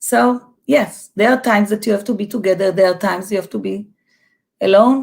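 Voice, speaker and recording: On a very clean recording with a silent background, a woman with a fairly high, somewhat breathy voice speaks at a moderate pace. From Israel. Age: 50s. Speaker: educator and artist. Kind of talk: casual chat. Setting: live stream.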